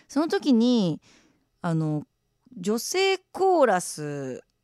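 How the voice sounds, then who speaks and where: A woman speaks at a fairly high pitch with very wide pitch swings and an animated tone. The sound is dry and close with no echo, in a very clean recording with a silent background. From Japan, Shimane. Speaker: radio DJ and musician. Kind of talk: casual radio after-talk reading listener messages. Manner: animated, laughs often.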